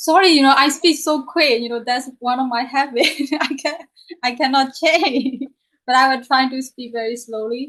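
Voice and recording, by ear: A woman talks at a moderate pace with a high pitch, a fairly bright tone and ordinary pitch variation.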